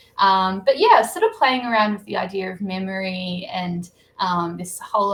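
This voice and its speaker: A woman talks at a fairly slow pace with an Australian accent. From Australia, Blue Mountains near Sydney. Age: 30s. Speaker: novelist. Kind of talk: interview. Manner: hesitant, many fillers.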